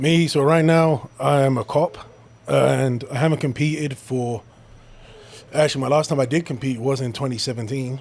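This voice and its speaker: With a British accent, a man speaks at a moderate pace. His pitch is medium and his intonation fairly even. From London, England. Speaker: police officer and powerlifter. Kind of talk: casual chat.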